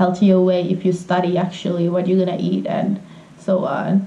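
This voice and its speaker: A woman speaks in a Finnish accent at a fairly slow pace and medium pitch. Noticeable background noise runs behind her. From Finland. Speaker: vegan traveler. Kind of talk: casual interview.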